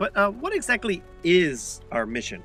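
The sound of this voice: A man puts on a character voice that is high in pitch, bright and sharp in tone, with very wide pitch swings at a moderate pace as faint music plays in the background.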